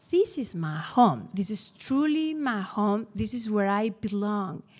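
The voice has a dark, mellow tone and a Spanish accent, with very wide swings in pitch. It moves at a fairly slow pace on a very clean recording with a silent background. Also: woman. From Spain, Bilbao (Basque Country). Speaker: storyteller, teacher. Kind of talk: live storytelling.

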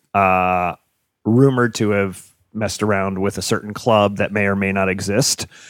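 The intonation stays fairly even. Delivery moves at a fairly quick pace. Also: man. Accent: American. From New Jersey. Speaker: comedian. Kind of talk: casual chat.

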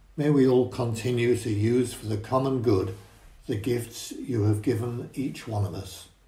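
A man talks at a moderate pace with fairly even intonation. His tone is dark and mellow, and somewhat breathy. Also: medium pitch for a man. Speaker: prayer leader at a church service. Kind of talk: intercessory prayer. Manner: formal.

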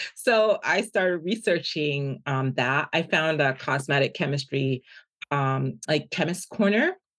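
Delivered with an American accent at a fairly slow pace, the voice keeps a very even loudness and lively intonation. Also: woman, very deep, low pitch for a woman. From Jamaica, raised mostly in Washington DC. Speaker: business founder and university professor. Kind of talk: interview.

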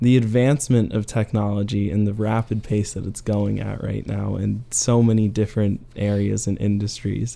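With a normal speaking voice, a man talks at a fairly low pitch, a moderate pace, and with fairly even intonation. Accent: American. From Arizona, Phoenix area. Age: 20s. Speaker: college student on a break. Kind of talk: casual interview.

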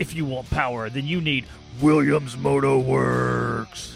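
A man puts on a character voice and talks fairly slowly while clear music plays in the background. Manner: loud hyped-up announcer delivery.

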